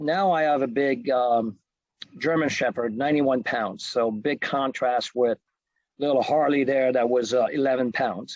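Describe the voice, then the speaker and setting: Speaking with a French Canadian accent, a man talks at a fairly slow pace with fairly even intonation. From Quebec, Canada. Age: 50s. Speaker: fitness trainer. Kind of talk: presentation. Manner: hesitant, many fillers.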